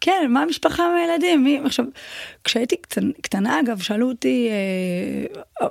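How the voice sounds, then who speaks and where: Here is a woman with a high pitch and lively intonation. The sound is dry and close, with no echo. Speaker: Thai boxing champion and coach. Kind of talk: casual interview.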